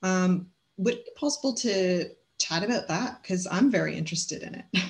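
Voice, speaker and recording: A woman speaks in a medium pitch with ordinary pitch variation. Her voice is somewhat breathy. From Canada. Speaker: podcast host for bookkeeping business. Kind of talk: interview. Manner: enthusiastic.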